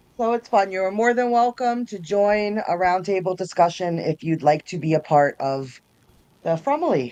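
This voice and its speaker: Against a quiet background, a woman with an American accent talks at a moderate pace in a dark, mellow tone. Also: medium pitch for a woman, lively intonation. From New York. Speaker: YouTube content creator. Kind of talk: casual chat. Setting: live stream.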